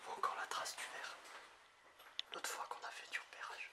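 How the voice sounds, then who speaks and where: A man is whispering amid noticeable background noise. Room echo is audible. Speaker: urban explorer vlogger. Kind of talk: walkthrough vlog narration.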